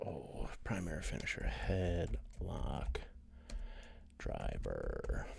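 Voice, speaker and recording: Quiet and very slow, a man speaks with long, frequent pauses. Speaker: streamer playing a wrestling sim game. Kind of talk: casual live-stream commentary. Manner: quiet, talking low.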